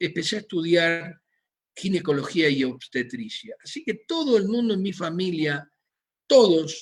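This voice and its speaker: A man's high-pitched voice goes at a fairly slow pace with ordinary pitch variation. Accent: Rioplatense. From Argentina, Buenos Aires. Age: 60s. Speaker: physician. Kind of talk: lecture. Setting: video call.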